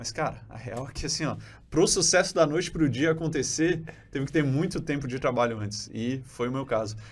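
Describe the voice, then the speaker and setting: Talking at a fairly quick pace in a Rio de Janeiro accent, a man with a fairly high pitch shows vocal fry and ordinary pitch variation. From Brazil, Florianópolis (born in Rio de Janeiro). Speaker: podcast host and digital product entrepreneur. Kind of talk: interview. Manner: casual, hesitant with frequent self-corrections.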